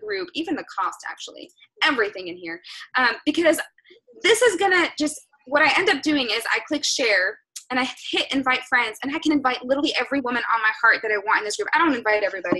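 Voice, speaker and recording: The speaker uses a raised, projected voice, moving fairly quickly with very wide pitch swings. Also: woman. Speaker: fitness business coach. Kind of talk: team call coaching talk. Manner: fast.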